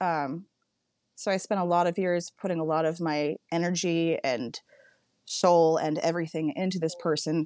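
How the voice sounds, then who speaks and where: A woman with an American accent and a normal speaking voice speaks at a moderate pace and fairly low pitch, with fairly even intonation, very even loudness and a dry, close sound with no echo. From Northern California. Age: 30s. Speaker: podcaster. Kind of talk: casual interview chat.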